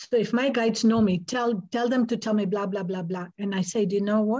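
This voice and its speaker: At a moderate pace, a somewhat breathy voice with a dark, mellow tone keeps its intonation fairly even. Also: woman. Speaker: hypnotist and energy healer. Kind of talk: interview. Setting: video call. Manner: calm.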